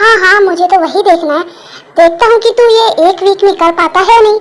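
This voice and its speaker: In a put-on character voice, a woman talks at a very fast pace with extremely high pitch and very even loudness. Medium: fan dub. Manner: teasing.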